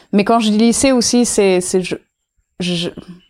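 A woman with a dark, mellow tone is heard in a very clean recording with a silent background. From India, Auroville near Pondicherry. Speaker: intentional community member. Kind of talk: casual interview. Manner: hesitant, many fillers.

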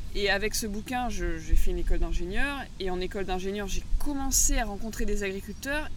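Over noticeable background noise and audible room echo, a woman speaks with lively intonation. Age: 30s. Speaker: agroecology school founder and former agricultural teacher. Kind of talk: interview. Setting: outdoors by the sea.

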